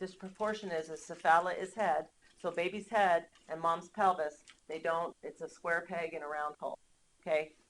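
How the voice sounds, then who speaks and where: This woman's voice sits fairly low and stays monotone and flat at a moderate pace. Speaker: nursing instructor. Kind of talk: lecture. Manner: many filler ums.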